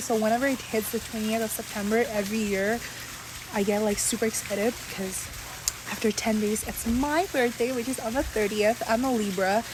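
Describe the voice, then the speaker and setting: A woman talks at a fairly quick pace and fairly high pitch, with fairly even intonation. Background noise is noticeable. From Saudi Arabia, Bengali family. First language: Bengali. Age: 20s. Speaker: vlogger. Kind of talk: casual chat. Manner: chatty, many fillers.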